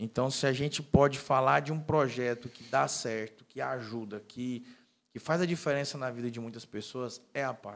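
Loudness swings widely as a man speaks at a moderate pace with ordinary pitch variation. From Porto Nacional, Tocantins, Brazil; Tocantins, Brazil. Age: 30s. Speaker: civil engineer and pastor; pastor. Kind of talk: casual interview. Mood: calm, warm, proud. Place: studio. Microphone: studio mic.

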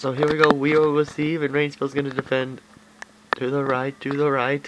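Over noticeable background noise, a fairly high-pitched man talks at a fairly quick pace in a monotone, flat intonation. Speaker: video game commentator. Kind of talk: gameplay commentary. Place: home room. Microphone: phone near.

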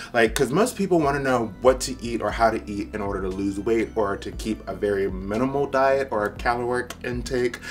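A man's speech with hardly any pauses over faint background music. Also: fairly quick pace. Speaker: fitness vlogger. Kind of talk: casual vlog chat. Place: home room. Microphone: camera far.

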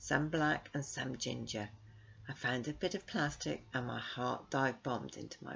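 The speaker reads in a natural reading voice.

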